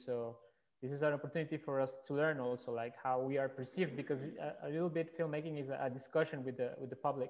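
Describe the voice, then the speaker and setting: A man with a Spanish accent, talking at a very fast pace with fairly even intonation. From Colombia. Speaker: filmmaker; panelist. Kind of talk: panel discussion. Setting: video call. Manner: halting. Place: home room. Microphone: headset.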